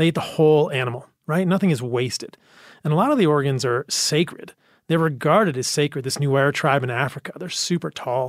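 Fairly quick and fairly high-pitched, a man speaks in an unremarkable speaking voice. The recording is very clean, with a silent background. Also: ordinary pitch variation. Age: 40s. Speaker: medical doctor and diet advocate. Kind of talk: casual chat.

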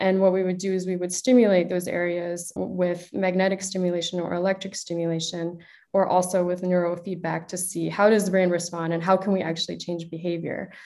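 A fairly low-pitched woman with a Midwestern accent, dark and mellow in tone, monotone and flat, at a fairly quick pace with hardly any pauses. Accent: American, Midwestern. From Chicago, US. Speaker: neuroscientist and startup co-founder. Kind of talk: interview conversation.

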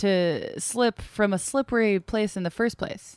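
At a fairly slow pace, a woman with an unremarkable speaking voice talks with fairly even intonation in a dry, close sound with no echo. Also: very clean recording, silent background. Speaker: podcast host. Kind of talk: casual chat.

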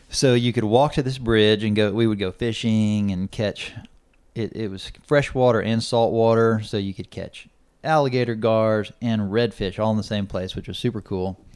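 On a very clean recording with a silent background, a man with an American accent speaks at a moderate pace and medium pitch in an ordinary speaking voice. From Texas, Corpus Christi. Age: 30s. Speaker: rancher and father. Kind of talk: casual chat.

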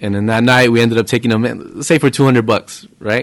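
In a plain, everyday voice, a man speaks at medium pitch with fairly even intonation. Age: 30s. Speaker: pool player. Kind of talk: casual chat.

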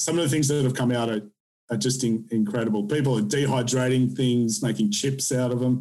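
A man talks at a fairly quick pace in a dark, mellow tone. There is audible room echo. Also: medium pitch for a man, ordinary pitch variation.

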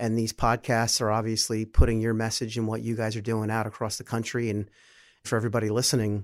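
In a very clean recording with a silent background, a plain, everyday voice talks at a fairly quick pace. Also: man. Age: 40s. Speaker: head of business development, former wholesaler. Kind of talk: casual interview.

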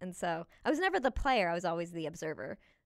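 On a very clean recording with a silent background, a woman speaks at a fairly quick pace in an animated tone. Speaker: actress and comedian. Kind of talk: casual interview. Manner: animated, laughs often.

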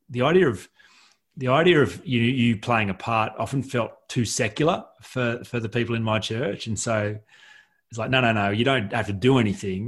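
A man with an Australian accent at a moderate pace, ordinary pitch variation, on a very clean recording with a silent background. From rural New South Wales, Australia. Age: 40s. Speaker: author and coach, former pastor. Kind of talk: podcast interview.

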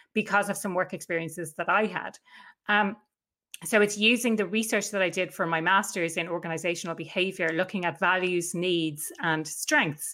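Her tone bright and sharp, a woman speaks at medium pitch and a moderate pace with fairly even intonation. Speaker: workplace happiness consultant and coach. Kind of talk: interview. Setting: video call.

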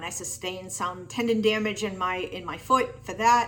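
Heard here is an unremarkable speaking voice at a moderate pace with ordinary pitch variation. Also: woman. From Massachusetts. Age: 50s. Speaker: amateur marathon runner. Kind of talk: testimonial.

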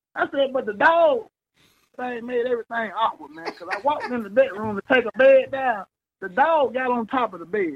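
The speaker talks at a moderate pace with a Mississippi accent and lively intonation. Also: man, extremely high pitch for a man. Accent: Southern US (Mississippi). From Mississippi, US South. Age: 20s. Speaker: mover, self-employed. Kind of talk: casual storytelling. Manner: animated.

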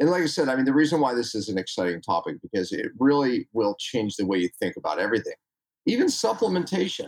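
A man talking at a very fast pace. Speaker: chiropractor and health educator. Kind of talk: podcast interview.

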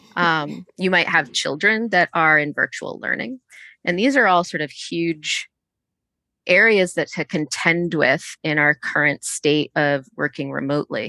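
In a dry, close sound with no echo and a quiet background, a woman with an American accent speaks at a fairly slow pace and a fairly low pitch, her bright, sharp tone carried by lively intonation. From US Northeast, Connecticut. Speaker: engineering executive. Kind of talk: interview.

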